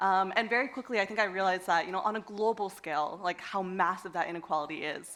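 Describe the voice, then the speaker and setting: Here a woman speaks with an American accent. She goes very fast, with hardly any pauses. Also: medium pitch for a woman, ordinary pitch variation. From United States. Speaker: education entrepreneur, panelist. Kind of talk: panel discussion. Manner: halting, many fillers and repetitions.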